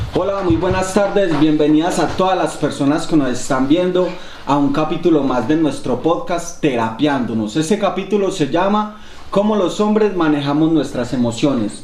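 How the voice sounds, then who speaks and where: A man's fairly high voice at a moderate pace, lively intonation and very even loudness, with noticeable background noise and audible room echo. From Colombia. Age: 30s. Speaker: podcast host. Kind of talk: casual podcast conversation.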